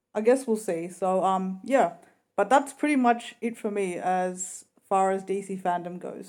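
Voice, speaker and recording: A woman with an ordinary speaking voice at a medium pitch, fairly slow in pace and with ordinary pitch variation. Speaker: YouTuber reviewing trailers. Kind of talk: casual vlog review.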